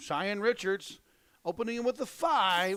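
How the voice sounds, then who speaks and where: A man with an Ozark accent speaks at a high pitch. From Ozarks, Missouri. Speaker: darts commentator. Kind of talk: live commentary.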